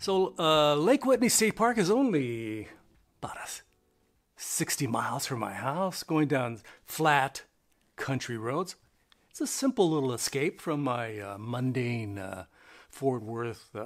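Against a quiet background, a man with an American accent speaks at a very slow pace with long, frequent pauses, his fairly high pitch carrying lively intonation. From California, Bay Area. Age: old. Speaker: RV travel YouTuber. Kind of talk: casual vlog monologue. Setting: at home. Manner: hesitant with frequent fillers. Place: home room.

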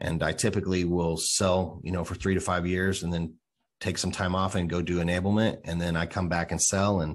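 A man's very deep, low voice at a fairly quick pace, monotone and flat in intonation, against a quiet background. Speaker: podcast guest, sales enablement director. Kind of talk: interview answer. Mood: friendly, laughing at times. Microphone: studio mic.

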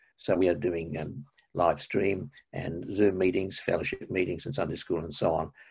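With an Australian accent, a man speaks in a very deep, low pitch, somewhat breathy, with fairly even intonation at a moderate pace. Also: quiet background. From Australia, Melbourne. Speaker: retired minister and church history lecturer; retired minister, church history lecturer. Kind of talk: interview. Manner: halting. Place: home room. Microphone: video call.

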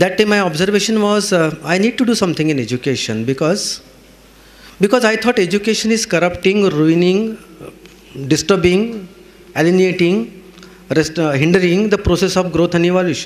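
A man with a high pitch talks at a fairly quick pace, his loudness very even and his pitch variation ordinary. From India. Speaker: psychotherapist and counselor; speaker. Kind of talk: speech. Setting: stage with audience. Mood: warm, earnest. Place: hall. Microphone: podium.

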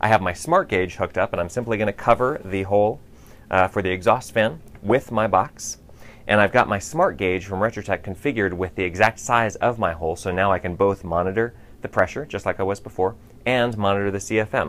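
Fairly low in pitch with ordinary variation, a man talks at a fairly quick pace. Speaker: building performance trainer. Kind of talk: tutorial. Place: empty room. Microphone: lapel.

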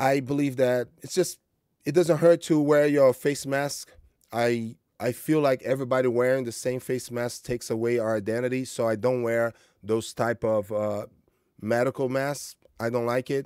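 With fairly even intonation, a man talks at a moderate pace in a dry sound with no echo and a quiet background. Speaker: martial arts coach vlogger. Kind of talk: monologue vlog. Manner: informal, motivational, hesitant with fillers. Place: home room.

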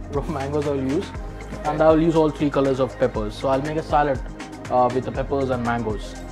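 With clear music in the background, a man speaks fairly quickly at a medium pitch. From Kerala, India. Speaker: chef. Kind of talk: cooking demonstration. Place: kitchen. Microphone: lapel.

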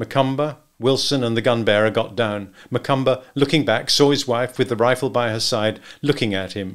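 Reading aloud in a natural voice, the speaker shows ordinary pitch variation.

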